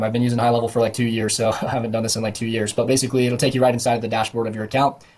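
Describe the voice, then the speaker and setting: The speaker is a man with a medium-pitched voice. It sounds somewhat breathy. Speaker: digital marketing agency owner and software tutor. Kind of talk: screen-recorded software tutorial. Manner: casual with many fillers.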